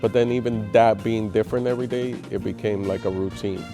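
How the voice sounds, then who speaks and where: Over music in the background, a man at medium pitch talks at a very fast pace. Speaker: stand-up comedian. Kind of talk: interview answer.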